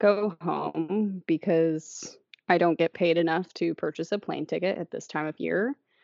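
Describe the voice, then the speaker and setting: A fairly low-pitched woman with a Midwestern American accent and fairly even intonation. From Indiana. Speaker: podcast co-host. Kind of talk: casual chat.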